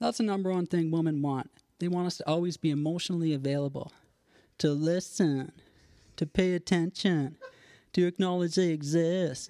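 A moderate pace broken by long, frequent pauses. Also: very clean recording, silent background.

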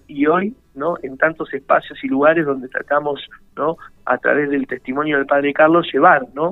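Background music plays while the speech proceeds at a moderate pace. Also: man. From Buenos Aires, Argentina. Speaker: parish priest. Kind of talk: radio interview. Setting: phone call.

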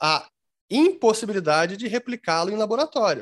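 A man's voice swings very widely in pitch, with a dry, close sound and no echo. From Brazil. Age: 40s. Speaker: crypto investment educator. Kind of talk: interview. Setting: video call.

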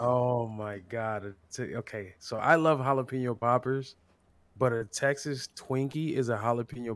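Speaking with an American accent, a man talks at a moderate pace at a medium pitch with fairly even intonation, an unremarkable speaking voice. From California. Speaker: streamer. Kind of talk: casual chat.

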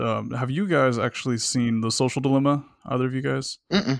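On a very clean recording with a silent background, a man uses a normal speaking voice, fairly even intonation and a fairly quick pace. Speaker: podcast host. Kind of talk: casual chat.

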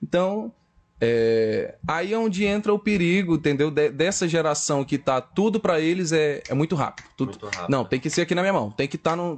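A man talks at a fairly quick pace with a fairly high pitch. He has a normal speaking voice and lively intonation. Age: 20s. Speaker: podcast guest. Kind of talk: casual chat.

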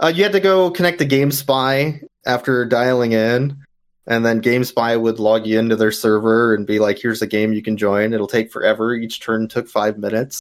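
A man talks in a normal speaking voice at a medium pitch and a moderate pace. His pitch variation is ordinary. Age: 30s. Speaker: speedrunner and charity marathon organizer. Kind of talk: casual interview.

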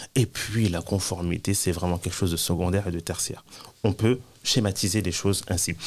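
This man's voice is very deep and low in pitch, and his pace is moderate. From France. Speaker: Islamic teacher and compliance consultant. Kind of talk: interview.

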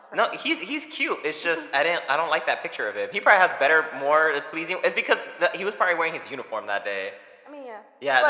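Over noticeable background noise, a man with a high pitch talks at a fairly quick pace, his intonation lively and his tone animated. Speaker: podcast co-host. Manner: casual, animated, joking.

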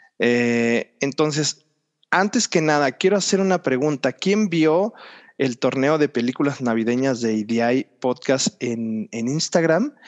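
With lively intonation, a man speaks at a very slow pace in a fairly high pitch, his voice dry and close with no echo against a quiet background. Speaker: podcast host. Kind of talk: casual chat.

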